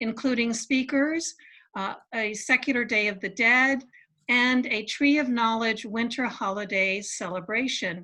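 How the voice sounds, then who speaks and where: The voice has a bright, sharp tone and ordinary pitch variation. The background is quiet. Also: woman, fairly high pitch for a woman. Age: 60s. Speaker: secular society organizer. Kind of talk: event announcements. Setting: video call.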